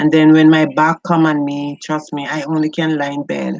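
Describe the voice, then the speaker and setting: In a Jamaican accent, a woman with a very deep, low voice speaks at a moderate pace in a monotone, flat intonation, with a dry, close sound and no echo. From rural Jamaica. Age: 60s. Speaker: beauty and lifestyle vlogger. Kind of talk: casual livestream chat while cooking. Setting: home kitchen livestream.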